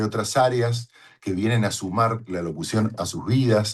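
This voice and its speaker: A man speaks in a somewhat breathy voice. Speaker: voice-over announcer. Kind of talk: talk to fellow voice professionals. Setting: home studio.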